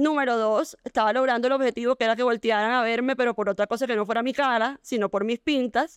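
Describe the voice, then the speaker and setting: Against a quiet background, a woman's high-pitched voice comes through dry and close with no echo, with ordinary pitch variation. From Colombia, Barranquilla. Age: 30s. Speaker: fashion entrepreneur. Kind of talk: interview.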